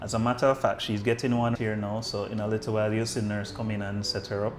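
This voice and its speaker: Against noticeable background noise, a man talks very fast in a fairly low pitch with monotone, flat intonation. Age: 40s. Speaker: doctor. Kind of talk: podcast interview.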